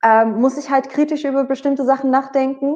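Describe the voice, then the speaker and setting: High in pitch, a woman speaks with fairly even intonation. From Netherlands, Bergen op Zoom. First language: Dutch (speaking German). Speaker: singer. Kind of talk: interview. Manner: hesitant, many fillers.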